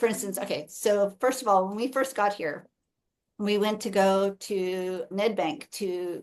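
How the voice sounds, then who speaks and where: An ordinary speaking voice from a woman with an American accent, medium pitch, ordinary pitch variation and a moderate pace, over a quiet background. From United States. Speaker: podcast host, missionary. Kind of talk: casual chat.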